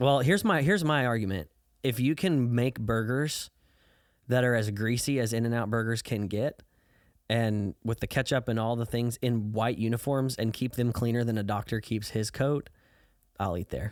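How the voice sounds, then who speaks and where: Against a very clean recording with a silent background, a man with an American accent and a normal speaking voice talks at a moderate pace and medium pitch with ordinary pitch variation. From US Midwest, Southern Illinois. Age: 20s. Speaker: youth pastor. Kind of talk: testimony; casual chat. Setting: podcast interview. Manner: casual with many fillers.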